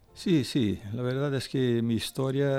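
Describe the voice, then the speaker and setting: A man speaks very slowly with a Brazilian accent. Music plays in the background. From Brazil, São Paulo (family from the northeast). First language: Portuguese (speaking Spanish). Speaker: pastor. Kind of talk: testimony interview. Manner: halting, with repetitions.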